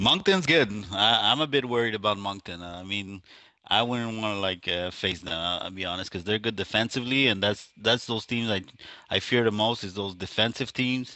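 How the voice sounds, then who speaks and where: Talking at a fairly quick pace, a man uses a fairly low pitch with ordinary pitch variation. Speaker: esports commentator. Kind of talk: live game commentary. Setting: livestream. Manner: quiet.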